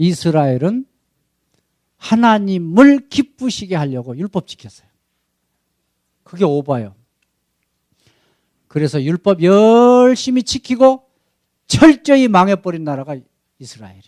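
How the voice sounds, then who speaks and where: A high-pitched male voice at a fairly slow pace, with very wide pitch swings, big shifts in loudness and long, frequent pauses, in a dry, close recording with no echo. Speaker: missionary pastor. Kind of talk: sermon. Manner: animated.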